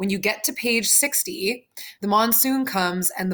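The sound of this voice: An unforced reading voice is what this clip carries.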